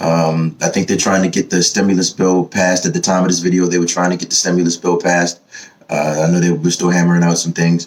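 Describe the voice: Using little pitch movement, a man with an American accent speaks at a fairly quick pace and a low pitch.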